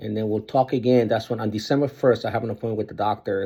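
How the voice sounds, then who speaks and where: Vocal fry runs through this man's fairly low-pitched voice. His intonation stays monotone and flat. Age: 60s. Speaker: vlogger sharing surgery recovery. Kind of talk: casual video diary. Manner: halting, many fillers.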